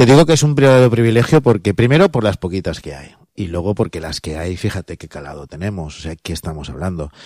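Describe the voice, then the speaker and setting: A man's very deep, low voice at a very fast pace, with very wide pitch swings, big swings in loudness, and hardly any pauses, on a very clean, dry, close recording with a silent background and no echo. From Chirivella, Valencia. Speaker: choir school director. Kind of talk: interview answers.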